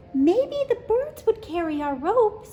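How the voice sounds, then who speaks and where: In a put-on, squeaky character voice, a woman speaks at an extremely high pitch with very wide pitch swings and a fairly slow pace, over clear background noise. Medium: read story. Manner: timid, hesitant.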